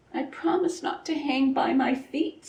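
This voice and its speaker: A squeaky, put-on character voice from a high-pitched woman, at a moderate pace. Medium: read story.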